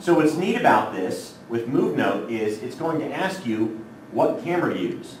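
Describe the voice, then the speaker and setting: A man's fairly high voice with very wide pitch swings at a moderate pace, noticeable background noise and audible room echo. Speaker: technology trainer for teachers. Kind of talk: workshop tutorial. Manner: casual, filler-heavy.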